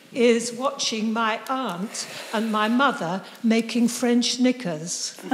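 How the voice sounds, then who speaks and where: Over noticeable background noise, a woman speaks at a very slow pace with a fairly high pitch. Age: 80s+. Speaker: audience member. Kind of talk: audience question and reminiscence.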